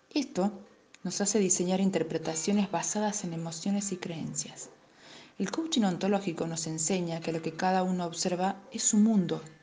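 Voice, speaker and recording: Speaking fairly slowly, a woman has a medium pitch, fairly even intonation and a plain, everyday voice. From Argentina, Tucumán. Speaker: life coach. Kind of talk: scripted narration.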